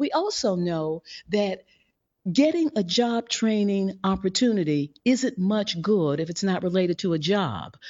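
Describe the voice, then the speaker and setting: Speaking with an American accent, a woman has a medium pitch and lively intonation at a fairly slow pace. It is an unremarkable speaking voice. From US Midwest (St. Louis, Missouri). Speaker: founder of a policy advocacy organization. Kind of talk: interview.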